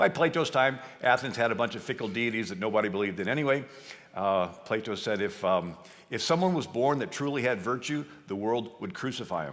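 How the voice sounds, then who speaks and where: A man at a medium pitch, with lively intonation and a fairly quick pace. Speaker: history speaker. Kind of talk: lecture talk. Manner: fast.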